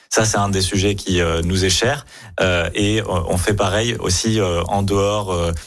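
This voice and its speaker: Very slow and fairly even in intonation, a man with a fairly low pitch keeps his loudness very even on a very clean recording with a silent background. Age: young. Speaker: city deputy mayor, politician. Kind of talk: radio interview.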